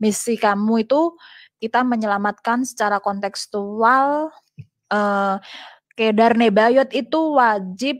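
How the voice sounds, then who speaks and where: A plain, everyday voice at a fairly slow pace with ordinary pitch variation, against a quiet background. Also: woman. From Indonesia (Central Java). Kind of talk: testimony. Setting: video call. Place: home room. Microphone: video call.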